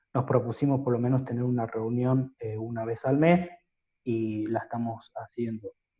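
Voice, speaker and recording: At a moderate pace, a man with a medium pitch speaks in a somewhat breathy voice with fairly even intonation. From Catamarca, Argentina. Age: 30s. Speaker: lawyer. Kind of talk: interview answer.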